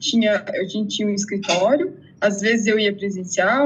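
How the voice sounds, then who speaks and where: Somewhat breathy, a woman speaks in a fairly high pitch. Her pace is moderate. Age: 30s. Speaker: exam candidate, interviewee. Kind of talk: interview testimony.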